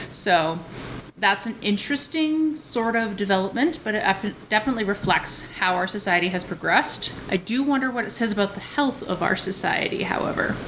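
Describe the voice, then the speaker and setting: A woman speaks at medium pitch and a fairly quick pace. Her intonation is lively, and background noise is noticeable. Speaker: tea review vlogger. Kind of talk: casual vlog tea review. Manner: casual, with frequent filler words.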